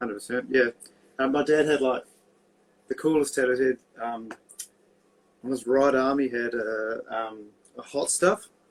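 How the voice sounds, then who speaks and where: With a New Zealand accent, a man speaks at medium pitch and a moderate pace, his intonation fairly even and his pauses long and frequent. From New Zealand, Christchurch. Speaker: tattoo artist. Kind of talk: casual chat.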